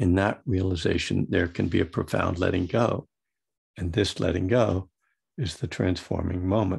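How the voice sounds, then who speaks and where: Against a quiet background, a man speaks at a moderate pace with a very deep, low pitch. His voice is somewhat breathy, with ordinary pitch variation. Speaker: Buddhist meditation teacher and recovery author. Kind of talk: dharma talk with reading from own book.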